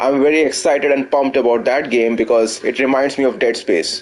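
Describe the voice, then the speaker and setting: A man with an Indian accent at medium pitch and a moderate pace, with music in the background. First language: Hindi. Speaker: gaming streamer. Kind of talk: live gameplay commentary. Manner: halting.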